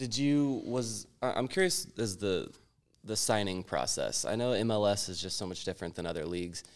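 Lively intonation runs through a man's fairly low-pitched voice at a moderate pace, an ordinary speaking voice. The recording is very clean, with a silent background. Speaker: podcast host. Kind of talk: casual chat, interview.

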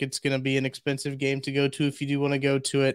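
A man talks in a monotone, flat way at a fairly high pitch, on a very clean recording with a silent background and a dry, close sound with no echo. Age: 20s. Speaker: podcast producer and Missouri fan. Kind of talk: casual chat.

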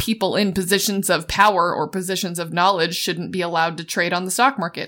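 A woman's bright, sharp voice at a fairly quick pace, ordinary pitch variation, very clean recording with a silent background. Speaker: podcast co-host. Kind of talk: casual chat.

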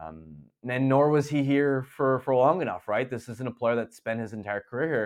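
Against a quiet background, a man uses a plain, everyday voice at medium pitch. He talks at a moderate pace with lively intonation. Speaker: hockey journalist. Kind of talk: casual interview.

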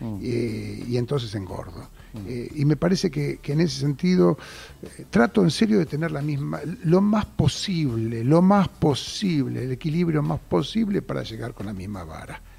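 A man's somewhat breathy, dark, mellow voice, fairly high in pitch, with very wide pitch swings at a moderate pace. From Buenos Aires, Argentina (Mataderos). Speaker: theater producer. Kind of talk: radio interview. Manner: halting, with repetitions and fillers.

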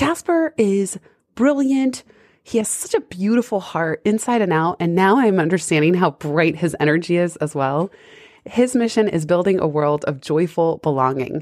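A woman's fairly low, animated voice with lively intonation, a moderate pace and very even loudness. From US West Coast, San Francisco. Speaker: podcast host and author. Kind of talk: interview.

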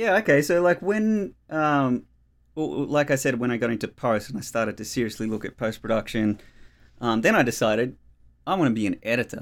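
A man with an Australian accent at a medium pitch, with lively intonation and a fairly quick pace, on a very clean recording with a silent background. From Australia, Melbourne outer eastern suburbs. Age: 30s. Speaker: cinematographer. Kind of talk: casual interview chat.

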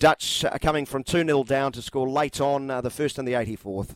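Fairly quick delivery with fairly even intonation, in a dry, close sound without echo. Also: man. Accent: New Zealand. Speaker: radio sports host. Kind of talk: live radio chat. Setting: studio.

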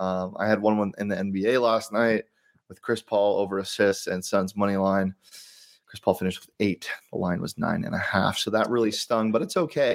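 A man with a plain, everyday voice speaks at a fairly quick pace and fairly low pitch, his intonation fairly even but his loudness swinging widely, in a dry, close sound with no echo. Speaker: sports betting podcast host. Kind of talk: casual sports betting chat.

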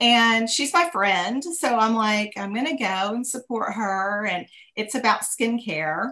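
Bright and sharp in tone, the voice moves at a fairly slow pace. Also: woman, fairly high pitch for a woman, lively intonation. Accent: Texan. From Texas. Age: 50s. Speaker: businesswoman. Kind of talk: interview. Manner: halting.

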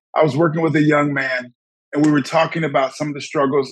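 This man talks very fast, his voice pitched fairly high. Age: 50s. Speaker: psychotherapist and life coach. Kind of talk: interview.

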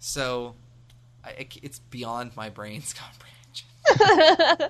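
At a very slow pace, the speaker talks with an American accent. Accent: American, sounds generic. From United States. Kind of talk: casual chat.

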